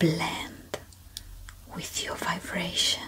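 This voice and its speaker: A woman whispers. Her pace is very slow. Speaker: relaxation guide. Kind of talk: sleep relaxation guidance. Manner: slow, calm. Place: home room. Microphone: studio mic.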